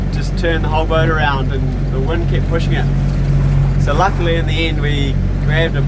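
There is loud background noise behind a man speaking. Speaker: sailing vlogger. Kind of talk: casual vlog chat. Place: boat. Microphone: phone near.

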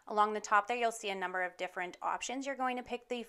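Ordinary pitch variation runs through a woman's medium-pitched voice. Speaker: virtual assistant. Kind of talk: tutorial. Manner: fast.

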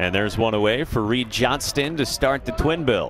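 Through noticeable background noise, a man talks with lively intonation. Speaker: play-by-play announcer. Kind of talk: live sports commentary. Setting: broadcast booth at ballpark.

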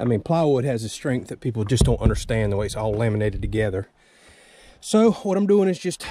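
A man talks at a fairly quick pace with a dark, mellow tone and very wide pitch swings. The sound is dry with no echo, over light background noise. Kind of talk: tutorial. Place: open country. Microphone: phone near.

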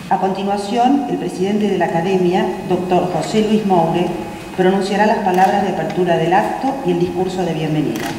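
A woman talks at a fairly quick pace with fairly even intonation. Room echo is audible, and there is light background noise. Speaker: ceremony announcer. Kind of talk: formal announcement. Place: hall. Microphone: podium.

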